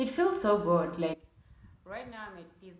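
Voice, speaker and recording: Noticeable background noise accompanies a woman as she talks. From Namibia. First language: a Namibian language. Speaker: YouTuber. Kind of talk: casual vlog talk.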